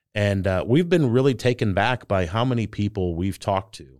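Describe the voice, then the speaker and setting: On a very clean recording with a silent background, a man with a fairly low pitch talks at a fairly quick pace. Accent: St. Louis. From US Midwest, St. Louis, Missouri. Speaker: federal retirement consultant, podcast co-host. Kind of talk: casual chat. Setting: studio.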